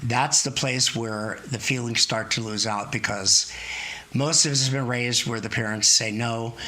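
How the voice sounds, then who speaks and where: Noticeable background noise runs under the speech. The delivery is moderate in pace with fairly even intonation. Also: man, medium pitch for a man. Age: 70s. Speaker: therapist. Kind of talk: interview.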